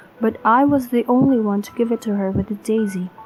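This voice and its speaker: Over music in the background, a woman speaks at a moderate pace, her fairly high pitch held in fairly even intonation. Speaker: horror story narrator. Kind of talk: horror story narration.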